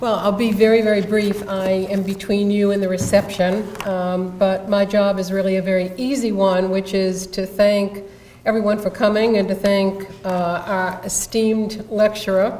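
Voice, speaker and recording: A medium-pitched woman with a Rhode Island accent, monotone and flat, at a moderate pace with hardly any pauses, amid noticeable background noise and audible room echo. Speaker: event organizer. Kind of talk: closing remarks at a lecture.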